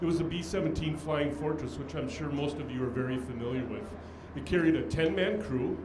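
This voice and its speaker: Fairly quick speech from a man with a fairly high pitch and ordinary pitch variation, with noticeable background noise and audible room echo. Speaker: aviation history speaker, airline scheduler. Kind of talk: speech at event. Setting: on a boat with audience. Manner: halting, many fillers.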